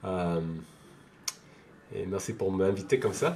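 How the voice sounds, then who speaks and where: This man's voice has a dark, mellow tone and a fairly low pitch. He speaks at a very slow pace. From France. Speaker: devotee of a temple community. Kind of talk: interview. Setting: video call. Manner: halting, many hesitations.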